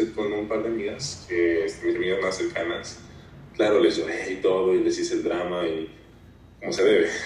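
A man is heard with noticeable background noise and audible echo from the room. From northern Mexico, Saltillo, Coahuila. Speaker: podcast guest. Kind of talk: testimony.

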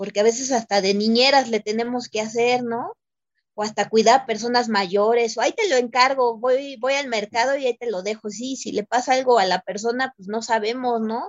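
A woman with an unremarkable speaking voice, fairly high pitch and a moderate pace. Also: fairly even intonation. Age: 30s. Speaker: domestic worker. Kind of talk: testimony.

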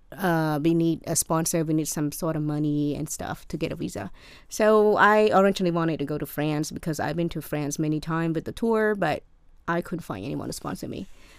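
On a very clean recording with a silent background, a woman with a Cambodian accent talks at a fairly quick pace, with a fairly low pitch and ordinary pitch variation. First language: Khmer. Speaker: college student. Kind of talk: casual interview.

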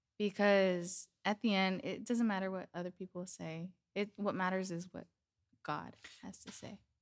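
This is an ordinary speaking voice at a moderate pace. Its loudness swings widely. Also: woman, medium pitch for a woman. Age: 20s. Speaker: youth ministry leader. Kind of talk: casual chat.

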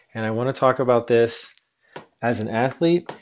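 This speaker talks with an American accent. Delivery moves at a moderate pace. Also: man. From Western Pennsylvania. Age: 30s. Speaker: podcast host, former pro snowboarder. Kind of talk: solo podcast monologue. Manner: hesitant, frequent fillers.

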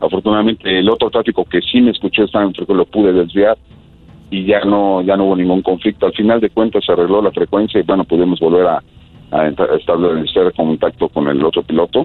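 Talking very fast, a man holds very even loudness and fairly even intonation. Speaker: air traffic controller. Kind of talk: interview.

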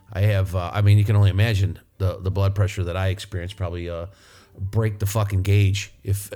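A man with an American accent, fairly low in pitch, somewhat breathy and dark, mellow in tone, at a fairly quick pace. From northern US. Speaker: podcast host, auto mechanic. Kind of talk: casual monologue. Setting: studio, alone at a microphone. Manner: animated, laughing often.

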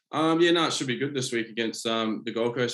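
This man has a New Zealand accent and a medium pitch. He speaks at a very fast pace. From New Zealand, Auckland. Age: 20s. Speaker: rugby league player. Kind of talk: casual interview. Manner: halting.

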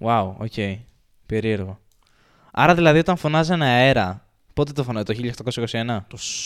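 On a very clean recording with a silent background, a man with a medium pitch uses lively intonation and takes long, frequent pauses. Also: moderate pace. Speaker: house owner and friend of the hosts. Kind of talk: casual chat.

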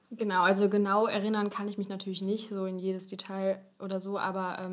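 Speaking very fast, a woman uses a medium pitch. Noticeable background noise is present. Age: 20s. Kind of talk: casual interview about health.

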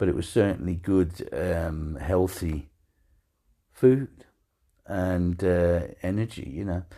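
A man's very deep, low voice in an English accent, with a warm tone and a dark, mellow tone, a very slow pace, ordinary pitch variation and long, frequent pauses, on a very clean recording with a silent background. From England. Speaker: podcast host. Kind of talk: elder life stories, a relaxed reminiscing monologue with amused anecdotes. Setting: living in Denmark. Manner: rambling, hesitant, filled with ums and restarts, warm and chatty; humorous, laughs at his own stories.

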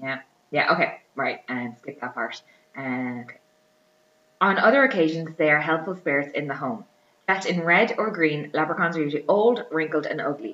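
Speaking with an Irish accent, a woman uses a very deep, low pitch and lively intonation. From Ireland. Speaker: podcast host. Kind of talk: casual chat.

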